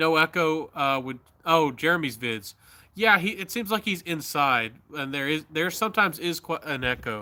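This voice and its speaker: A man with an American accent speaks at a fairly high pitch with lively intonation and a bright, sharp tone. He keeps a moderate pace on a very clean recording with a silent background. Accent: slight Southern, others doubt he is Southern. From US South. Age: 30s. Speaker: YouTuber. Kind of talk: casual live-stream chat. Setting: outdoors at night on a live stream. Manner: halting, with speech difficulties.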